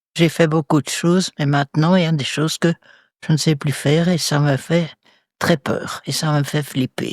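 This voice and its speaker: A woman with a very deep, low pitch talks at a moderate pace in monotone, flat intonation, captured dry and close with no echo on a very clean recording with a silent background. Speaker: retirement home resident. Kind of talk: interview.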